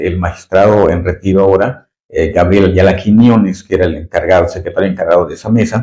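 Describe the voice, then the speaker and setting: Speaking with a Yucatecan accent, a man has a fairly low, dark, mellow voice that is somewhat breathy, moving at a fairly quick pace with fairly even intonation. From Mexico, Yucatán. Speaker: retired judge. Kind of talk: interview. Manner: halting, many fillers.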